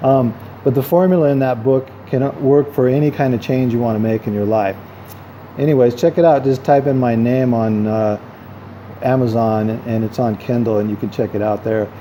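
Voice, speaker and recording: A man talks at a medium pitch, with noticeable noise in the background. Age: 50s. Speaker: vlogger and self-help author. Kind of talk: casual vlog monologue. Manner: hesitant, many fillers; talkative.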